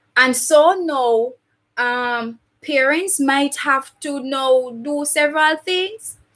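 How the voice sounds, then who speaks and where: A loud woman's voice, high in pitch, with ordinary pitch variation. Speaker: teacher. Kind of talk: tutorial.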